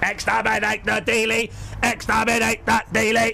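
Over clear background noise, a man uses a put-on character voice at a high pitch, raised and projected. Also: moderate pace. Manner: menacing, barking.

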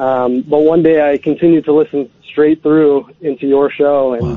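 A normal speaking voice from a man, fairly high in pitch, fairly even in intonation, at a moderate pace. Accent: American. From Alaska, Anchorage. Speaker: caller. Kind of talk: phone-in chat. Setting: phone call.

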